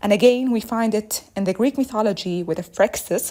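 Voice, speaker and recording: Her voice sits at a medium pitch, and this woman uses ordinary pitch variation. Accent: Arabic. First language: Arabic. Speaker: listener voicemail contributor. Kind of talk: voicemail message. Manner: fast.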